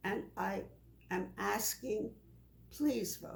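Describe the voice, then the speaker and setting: A woman's dark, mellow voice carries vocal fry. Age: 90s. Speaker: elderly voter interviewee. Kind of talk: interview.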